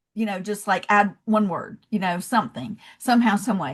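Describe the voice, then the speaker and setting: Speaking at a moderate pace in a Southern accent, a woman with a medium pitch sounds somewhat breathy over a quiet background. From US South, Georgia. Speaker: love and leadership coach, founder. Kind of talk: podcast interview.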